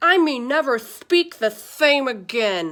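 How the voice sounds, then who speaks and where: A woman puts on a character voice, high-pitched and mumbling. She goes at a fairly slow pace with very wide pitch swings. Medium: read story. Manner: mumbling, as if toothless.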